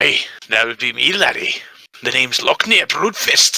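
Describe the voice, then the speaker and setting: A man puts on a character voice and speaks at a moderate pace. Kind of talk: old-timer folksy dwarf talk. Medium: actual play.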